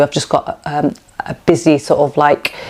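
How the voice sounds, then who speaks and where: A woman with a Lancashire accent speaks at a very deep, low pitch. Noticeable background noise can be heard. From northern England, Preston, Lancashire. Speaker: cooking YouTuber. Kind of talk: casual Q&A vlog chat. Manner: animated.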